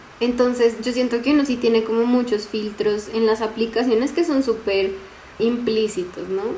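Against noticeable background noise, a woman speaks in a fairly high pitch. Her pace is moderate and her intonation fairly even. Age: 20s. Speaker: teacher and podcast co-host. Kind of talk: casual chat.

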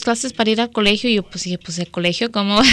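A woman's voice, with ordinary pitch variation, sits on a very clean recording with a silent background. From Mexico, Guadalajara; raised in US from early childhood. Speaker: public defense lawyer. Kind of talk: radio interview. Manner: halting, many repetitions and fillers.

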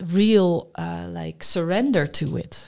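Very slow and dark, mellow in tone, a woman speaks with a Dutch accent. Her pitch is fairly low. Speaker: humanist workshop leader. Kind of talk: interview.

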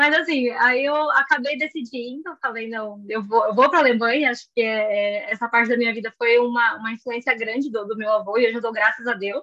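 The woman's voice is high-pitched with a bright, sharp tone. She moves at a fairly quick pace with ordinary pitch variation. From Brazil, São Paulo. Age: 20s. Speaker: biology graduate and pre-master's student. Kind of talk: interview.

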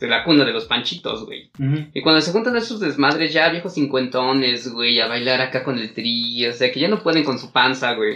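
At a moderate pace, a man speaks with hardly any pauses. His pitch is medium, with ordinary variation. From Mexico. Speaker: podcast co-host. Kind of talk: casual chat. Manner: animated.

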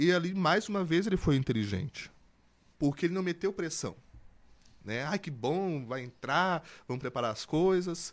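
A high-pitched man with lively intonation, a moderate pace and long, frequent pauses, in a very clean recording with a silent background. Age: 20s. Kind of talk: casual interview testimony.

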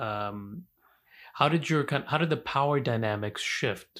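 A man speaks very slowly in a bright, sharp tone. The recording is very clean, with a silent background. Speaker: podcast host and civil rights lawyer. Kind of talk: interview.

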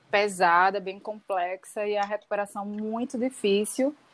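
A woman's medium-pitched voice, fairly slow in pace, with fairly even intonation. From Recife, Pernambuco, Brazil. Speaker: performance artist. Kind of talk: interview. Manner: halting.

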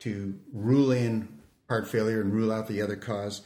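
A man speaks at a medium pitch with fairly even intonation. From Canada. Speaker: emergency physician and researcher. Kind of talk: expert interview on medical education podcast. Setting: studio.

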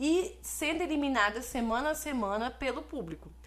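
In a Brazilian accent, a woman speaks with vocal fry. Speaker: podcast co-host. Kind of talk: casual chat.

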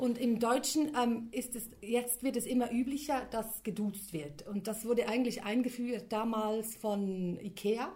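A woman's fairly high voice at a fairly slow pace, with ordinary pitch variation, hardly any pauses and noticeable background noise. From Switzerland. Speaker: linguist and copywriter. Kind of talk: interview.

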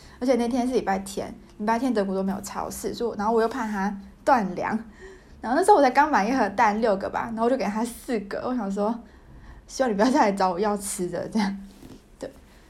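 Talking at a very fast pace, a woman uses a fairly high, somewhat breathy voice with ordinary pitch variation, and audible room echo is present. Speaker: podcaster, graduate student. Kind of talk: casual monologue. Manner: halting, many fillers.

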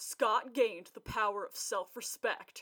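Putting on a character voice, a woman booms loudly at a moderate pace in a fairly high pitch, with a dry, close sound and no echo.

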